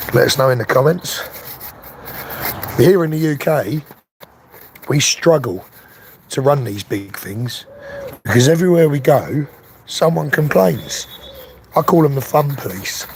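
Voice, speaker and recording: A man with a London accent speaks in a relaxed tone, his pitch fairly high and his intonation lively. Long pauses come often, over noticeable background noise. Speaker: RC car youtuber. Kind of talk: casual live stream chat. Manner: relaxed, chatty.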